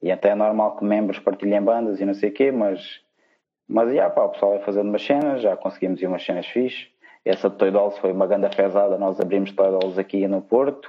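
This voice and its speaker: A man with an unremarkable speaking voice talks at a fairly quick pace. His pitch is fairly low, and his intonation fairly even. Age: 20s. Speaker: punk rock guitarist. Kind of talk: casual chat.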